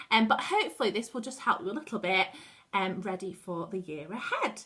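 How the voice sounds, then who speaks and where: Over noticeable background noise, a woman talks at a fairly quick pace with medium pitch and ordinary pitch variation. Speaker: primary school teacher. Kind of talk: staff training tutorial. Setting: at home, dining room. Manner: casual, informal.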